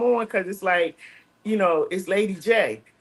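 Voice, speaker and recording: A woman's lively intonation at a moderate pace. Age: 60s. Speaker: radio host and chaplain. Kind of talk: casual chat. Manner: animated.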